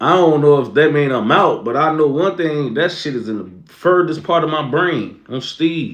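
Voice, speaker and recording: Man with an American accent, fairly high pitch, ordinary pitch variation, moderate pace. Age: 20s. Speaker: streamer. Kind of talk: casual livestream chat.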